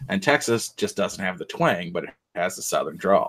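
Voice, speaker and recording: A man talks at a moderate pace. His accent is Midwestern. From Michigan, Detroit. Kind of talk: casual chat.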